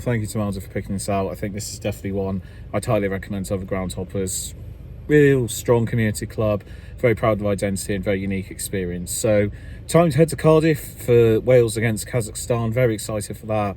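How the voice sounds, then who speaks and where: A man with an English accent, fairly low in pitch and very fast, dark and mellow in tone, somewhat breathy, with ordinary pitch variation. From England. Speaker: football groundhopping vlogger. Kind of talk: casual vlog review. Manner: animated.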